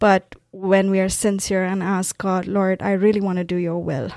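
With a Tamil accent, a woman talks at a medium pitch in a dark, mellow tone and a monotone, flat intonation. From South India, Tamil-speaking. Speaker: pastor. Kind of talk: testimony.

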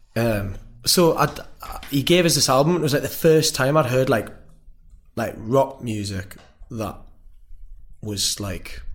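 Medium pitch from a man, with ordinary pitch variation, a fairly slow pace and long, frequent pauses.

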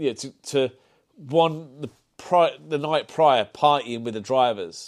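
A man with a Birmingham accent and ordinary pitch variation. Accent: Brummie. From Birmingham, England (Solihull). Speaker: automotive artist. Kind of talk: casual chat. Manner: halting, many repetitions.

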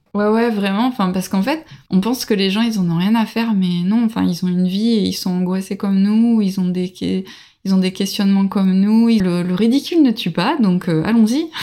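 At a moderate pace, a woman with a dark, mellow tone speaks at a medium pitch with ordinary pitch variation. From France, Bordeaux. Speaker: early childhood educator and traveller. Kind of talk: interview testimony.

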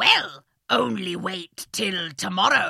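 A put-on character voice moves at a very slow pace with very wide pitch swings. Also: woman. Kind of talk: comic overacting. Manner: menacing, threatening.

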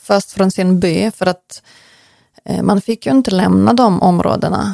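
A woman's voice, dry and close with no echo. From western Ukraine, Lutsk. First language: Ukrainian (speaking Swedish). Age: 40s. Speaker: interviewee, Ukrainian emigrant. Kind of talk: interview. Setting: in person, host's home office.

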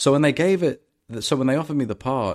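A man speaks in a London accent. The recording is very clean, with a silent background. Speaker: actor. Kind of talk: casual chat.

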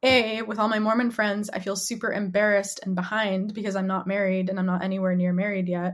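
A woman's somewhat breathy voice at a medium pitch, with an American accent and fairly even intonation. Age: 20s. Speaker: writer and activist. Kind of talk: casual interview.

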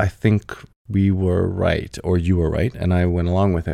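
Here a man talks with a very deep, low pitch. His tone is dark and mellow. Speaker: husband of the host, father. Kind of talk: casual chat interview.

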